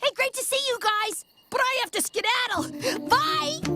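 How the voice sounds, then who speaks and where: Someone speaks in a cartoonish character voice at a moderate pace. Faint music sits in the background. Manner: casual, relaxed.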